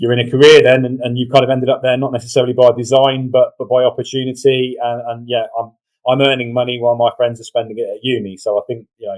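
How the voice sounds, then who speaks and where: The delivery comes at a very fast pace. Its intonation is monotone and flat. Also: man, medium pitch for a man. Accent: English. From England, Northampton. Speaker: referee organisation communications director. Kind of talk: interview. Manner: repeats words, hesitant.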